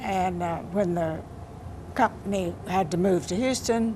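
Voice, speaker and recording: A woman with a Texan accent, fairly low in pitch, with ordinary pitch variation and a fairly slow pace, over noticeable background noise and audible room echo. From Texas, Johnson County (Rio Vista). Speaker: poet. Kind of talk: interview.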